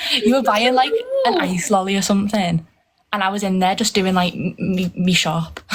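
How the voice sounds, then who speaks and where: This woman talks in a Liverpool accent at a fairly quick pace. Her pitch is medium. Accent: Scouse. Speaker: fan calling in to livestream. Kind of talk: casual chat.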